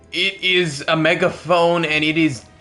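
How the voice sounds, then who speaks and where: A man's voice has a fairly high pitch. Music is playing behind him. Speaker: gamer streamer. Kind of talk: live gameplay commentary. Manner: pitches voice slightly higher than normal; casual, conversational.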